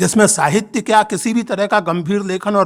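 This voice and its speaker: On a very clean recording with a silent background, a man speaks at a moderate pace in a high pitch. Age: 60s. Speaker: writer and professor giving a speech. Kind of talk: inaugural speech at a literature festival. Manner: impassioned, formal.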